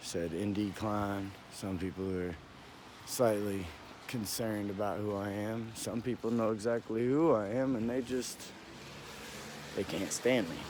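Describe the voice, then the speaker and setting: Quiet and at a fairly slow pace, a man talks in a fairly low pitch with ordinary pitch variation and long, frequent pauses, and room echo is audible. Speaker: vlogger. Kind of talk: casual walking vlog. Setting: outdoors. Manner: halting.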